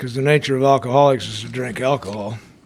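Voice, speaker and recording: Over noticeable background noise, a man talks very fast in a medium pitch with ordinary pitch variation. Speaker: recovery speaker. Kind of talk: testimony.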